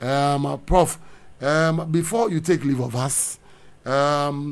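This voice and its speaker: The speaker is a man with a fairly high pitch and ordinary pitch variation. He talks very slowly. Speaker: radio host. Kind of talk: radio interview. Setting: studio.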